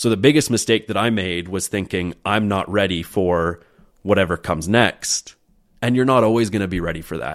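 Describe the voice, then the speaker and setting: A man's fairly low voice with a Canadian accent, ordinary pitch variation and a moderate pace. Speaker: real estate agent. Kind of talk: casual interview chat.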